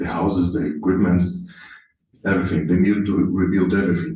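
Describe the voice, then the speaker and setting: Amid audible room echo, a somewhat breathy man speaks with lively intonation. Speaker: product manager. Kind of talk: conference talk. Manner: halting, with fillers.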